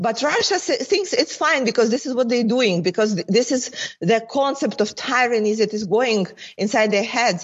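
In a Ukrainian accent, a woman speaks at a fairly high pitch and a moderate pace with lively intonation. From Ukraine. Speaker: member of parliament. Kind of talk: interview. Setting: remote call.

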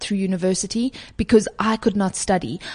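Here a woman speaks at a medium pitch and a moderate pace, with ordinary pitch variation. Her voice is somewhat breathy, with a dry, close sound, no echo and a quiet background. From South Africa. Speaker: climate and social activist. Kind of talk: interview. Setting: office boardroom.

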